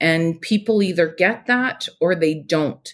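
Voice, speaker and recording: Speaking at a fairly slow pace with a fairly low pitch, a woman uses lively intonation in a Canadian Prairies accent. The recording is very clean with a silent background. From Saskatchewan, Canada. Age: 40s. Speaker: beekeeper and entrepreneur. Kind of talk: personal testimony in interview.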